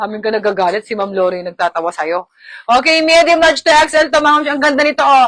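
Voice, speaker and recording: Very fast and animated, a woman talks in a high-pitched voice. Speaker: online live seller. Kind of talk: live selling.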